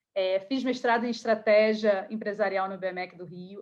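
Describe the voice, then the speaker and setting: Her pitch fairly high, a woman speaks at a moderate pace with fairly even intonation. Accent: Rio de Janeiro. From Rio de Janeiro, Brazil. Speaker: career coach. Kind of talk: online workshop talk.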